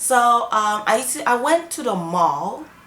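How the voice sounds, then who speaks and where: With very wide pitch swings, a woman talks over noticeable background noise. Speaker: YouTuber. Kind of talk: storytime vlog. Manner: animated.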